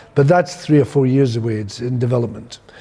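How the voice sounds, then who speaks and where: A somewhat breathy man with a Scottish accent, a dark, mellow tone, medium pitch and ordinary pitch variation. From Scotland. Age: 60s. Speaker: theatre director. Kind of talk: interview monologue. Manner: halting, with self-corrections.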